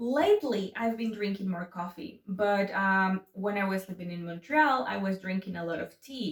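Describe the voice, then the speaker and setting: In a Spanish accent, a woman speaks at medium pitch and a moderate pace. She takes hardly any pauses, and her pitch variation is ordinary. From Mexico City. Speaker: YouTuber. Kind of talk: casual chat. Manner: animated.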